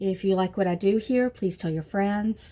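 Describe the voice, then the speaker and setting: Somewhat breathy, with a dark, mellow tone at medium pitch, a woman speaks at a moderate pace on a very clean recording with a silent background. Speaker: beauty vlogger. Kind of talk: makeup tutorial. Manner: casual, chatty.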